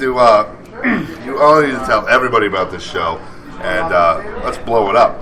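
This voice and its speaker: A man speaks over noticeable background noise. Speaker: radio show host. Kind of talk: casual chat. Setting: live radio show at a rock venue. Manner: animated.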